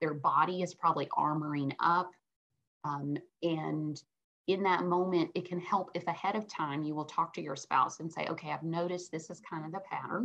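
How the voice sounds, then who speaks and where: A woman with a plain, everyday voice speaks at a fairly low pitch and a moderate pace. Her intonation is fairly even, and the background is quiet. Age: 50s. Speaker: clinical psychologist and sex therapist; guest. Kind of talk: interview about marriage and sex. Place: home room. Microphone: webcam.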